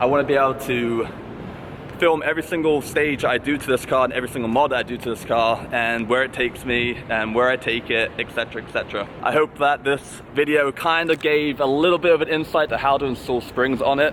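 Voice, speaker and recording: With noticeable background noise behind him, a man speaks fairly quickly at a medium pitch with fairly even intonation. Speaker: car enthusiast vlogger. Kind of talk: casual vlog. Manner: casual, relaxed.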